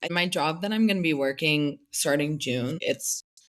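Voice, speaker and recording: With an American accent, a woman talks at a moderate pace in an ordinary speaking voice, fairly low-pitched, with ordinary pitch variation. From Pennsylvania, US (near Philadelphia). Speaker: recent graduate, Fulbright grantee. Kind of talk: interview.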